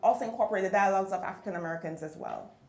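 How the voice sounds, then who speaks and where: A woman speaks at a medium pitch with a Jamaican accent. Noticeable background noise and audible room echo surround her voice. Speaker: novelist. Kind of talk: panel discussion.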